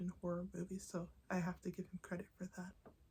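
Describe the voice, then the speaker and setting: The speaker is soft-spoken. The pace is moderate. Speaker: ASMR creator. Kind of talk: soft-spoken ASMR talk to camera.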